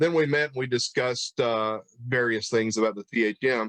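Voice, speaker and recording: A man's medium-pitched voice with a Tennessee accent, moderate pace and fairly even intonation, in a dry, close sound with no echo. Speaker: pastor and church history interviewer. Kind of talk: casual interview chat. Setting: livestream video call.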